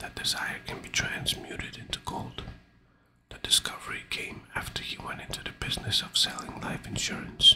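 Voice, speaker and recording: Whispering at a moderate pace, a man can be heard. Noticeable background noise is present. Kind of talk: audiobook reading. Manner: whispered.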